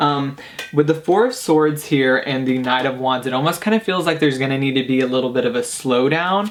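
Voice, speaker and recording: The speech moves at a fairly quick pace. Noticeable background noise is heard behind it. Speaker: tarot card reader. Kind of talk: pick-a-card tarot reading. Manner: fast; casual, filler-heavy.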